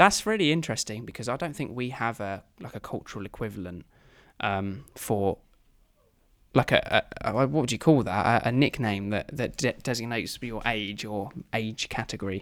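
On a very clean recording with a silent background, a man with a plain, everyday voice talks at a medium pitch and moderate pace, with ordinary pitch variation. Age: 20s. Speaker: podcast host. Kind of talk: casual chat. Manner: joking, laughs often.

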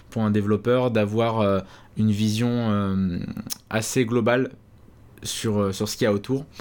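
A man speaks at a fairly slow pace with a fairly low pitch. His intonation stays monotone and flat. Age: 20s. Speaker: YouTube programming educator. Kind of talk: interview.

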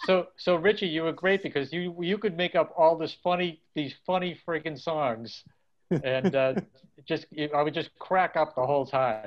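A man with a Boston accent, fairly high-pitched, at a moderate pace with ordinary pitch variation. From Dorchester, Boston. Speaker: punk musician. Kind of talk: casual interview.

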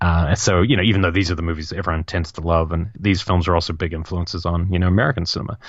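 Talking very fast with hardly any pauses, a man with a New Zealand accent uses a very deep, low voice and fairly even intonation. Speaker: film podcast co-host. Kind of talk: casual chat.

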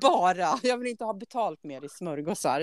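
Recorded with a dry, close sound with no echo, a woman with an unremarkable speaking voice talks at a moderate pace with lively intonation. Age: 50s. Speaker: podcast host. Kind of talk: casual chat.

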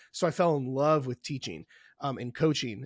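A fairly high-pitched man with a US Midwestern accent and ordinary pitch variation, on a very clean recording with a silent background. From Indianapolis, US Midwest. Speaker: online fitness coach. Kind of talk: casual interview chat.

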